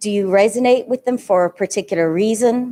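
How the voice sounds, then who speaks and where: Her tone is dark and mellow, and her pitch sits in the medium range. The woman speaks at a fairly quick pace. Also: dry, close sound with no echo. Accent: Irish. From Ireland. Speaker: guest of honor, education leader and counselor. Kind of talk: event speech. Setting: live event with audience, also streamed.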